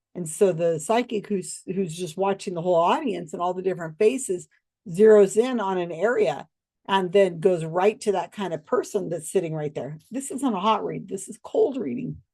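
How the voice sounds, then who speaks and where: Speaking with an American accent, a woman has a dark, mellow tone at medium pitch, ordinary pitch variation, big swings in loudness and a moderate pace. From United States. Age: 60s. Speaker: online video host on psychics and skepticism. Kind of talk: casual monologue. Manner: halting, many fillers.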